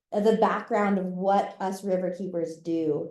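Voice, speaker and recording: A woman with an American accent speaks at a fairly slow pace with fairly even intonation and a dark, mellow tone. Audible room echo surrounds her voice. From Florida. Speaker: environmental advocate. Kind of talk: lecture. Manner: loud.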